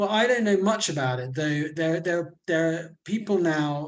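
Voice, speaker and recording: Speaking at a fairly slow pace, a man with a British accent has a fairly high pitch. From Britain. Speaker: interviewer and author. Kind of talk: casual chat. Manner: halting, repeats words.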